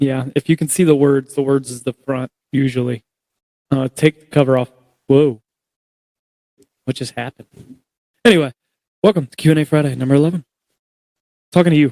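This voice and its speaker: A man's fairly high-pitched, dark, mellow voice at a fairly quick pace, with fairly even intonation, big swings in loudness, long, frequent pauses, and a dry, close sound with no echo. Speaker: podcast host. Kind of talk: casual chat.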